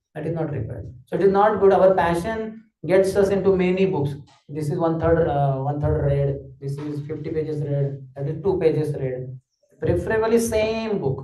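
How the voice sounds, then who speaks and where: With audible room echo, a man of fairly high pitch talks at a moderate pace with ordinary pitch variation. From Maharashtra, India. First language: Marathi. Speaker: spiritual teacher. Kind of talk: lecture.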